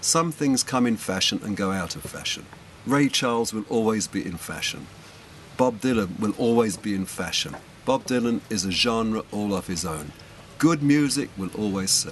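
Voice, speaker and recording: A man's medium-pitched voice with lively intonation, at a moderate pace, over noticeable background noise. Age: 70s. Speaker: record shop owner. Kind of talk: interview.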